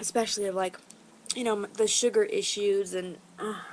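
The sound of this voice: A woman talks at a moderate pace with fairly even intonation, her pitch sitting in the medium range.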